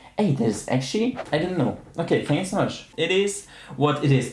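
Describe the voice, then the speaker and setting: A man with a German accent and lively intonation at a moderate pace, with audible room echo. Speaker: streamer. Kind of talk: casual chat. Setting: live stream.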